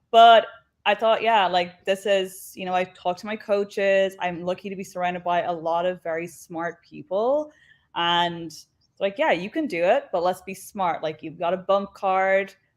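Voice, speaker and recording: A woman with an Irish accent speaks at a moderate pace. Her pitch sits in the middle, with ordinary variation. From Ireland. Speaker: professional wrestler. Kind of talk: interview. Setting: live online show.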